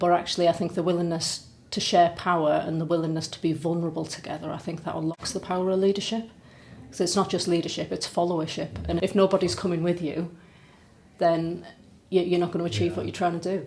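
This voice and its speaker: Vocal fry at a very fast pace, with fairly even intonation. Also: woman, fairly low pitch for a woman. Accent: Teesside. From Middlesbrough, North East England. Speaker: charity chief executive. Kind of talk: podcast interview answer.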